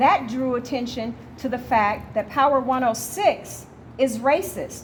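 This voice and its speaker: A woman in an American accent speaks at a high pitch over noticeable background noise. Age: 60s. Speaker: activist, nonprofit director. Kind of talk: debate.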